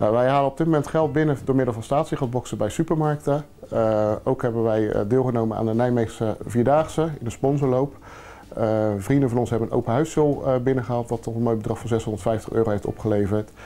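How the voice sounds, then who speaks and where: Speech comes at a fairly quick clip, its pitch rising and falling in an ordinary way. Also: man, medium pitch for a man. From Netherlands. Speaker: charity founder. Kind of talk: interview. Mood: earnest, calm. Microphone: lapel.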